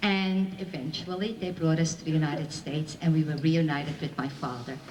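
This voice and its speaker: A woman talks at a moderate pace, and audible room echo trails her words. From Belgium. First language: Flemish, French and Yiddish. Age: 60s. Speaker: Holocaust survivor speaker. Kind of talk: testimony to school audience.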